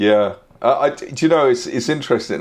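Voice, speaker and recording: A man talks with a British accent and ordinary pitch variation. The background is quiet. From UK. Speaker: expat YouTuber. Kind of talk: casual chat. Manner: halting.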